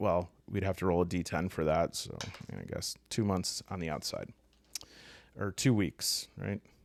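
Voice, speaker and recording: In a very clean recording with a silent background, a man with a Midwestern accent talks at a moderate pace in a very deep, low voice with ordinary pitch variation. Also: long, frequent pauses. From US Midwest. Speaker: tabletop game youtuber. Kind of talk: tutorial. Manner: casual, hesitant with fillers.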